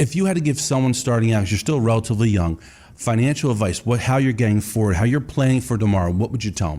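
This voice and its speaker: Speaking at a very fast pace, the man has a dark, mellow tone that is somewhat breathy, with lively intonation. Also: medium pitch for a man. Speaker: podcast host, financial advisor. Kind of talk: interview questions.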